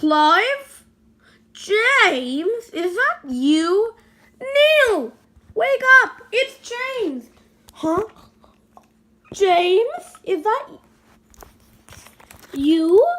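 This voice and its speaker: Putting on a character voice, a woman speaks extremely high and very slowly, with very wide pitch swings and long, frequent pauses. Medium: read story.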